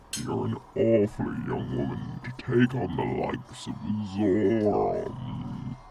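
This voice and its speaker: A man speaks in a put-on character voice at a fairly slow pace. Clear background noise runs underneath. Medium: read story. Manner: smug, condescending.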